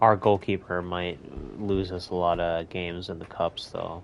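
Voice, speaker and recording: The speaker is a man. His voice is very deep and low in pitch. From United States. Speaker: gamer streamer. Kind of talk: gameplay commentary. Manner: casual, animated.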